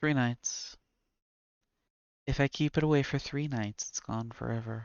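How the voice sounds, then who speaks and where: A man with an American accent speaks at a fairly slow pace. His intonation stays fairly even. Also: medium pitch for a man. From US South. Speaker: author reading own stories, streamer. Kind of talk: reading aloud. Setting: live stream with chat.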